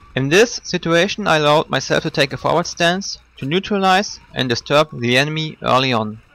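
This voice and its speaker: At a moderate pace, a man with a non-native accent speaks with ordinary pitch variation. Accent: non-native English, trouble with th sounds. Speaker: video game commentator. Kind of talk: scripted gameplay commentary voice-over.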